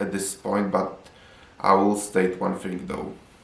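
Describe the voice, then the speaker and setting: A man in a Polish accent, fairly low-pitched and monotone, at a moderate pace, amid noticeable background noise and audible room echo. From Poland. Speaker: film reviewer. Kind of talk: video review.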